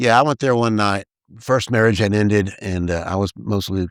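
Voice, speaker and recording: A man with a Texas accent and a fairly low pitch talks at a moderate pace with fairly even intonation, recorded very cleanly with a silent background and a dry, close sound with no echo. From East Texas, US. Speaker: mayoral candidate. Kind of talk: casual interview.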